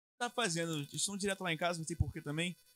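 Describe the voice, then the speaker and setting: The man's voice has a bright, sharp tone and a fairly high pitch. The sound is dry and close, with no echo. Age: 20s. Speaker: guitarist. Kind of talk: casual interview chat.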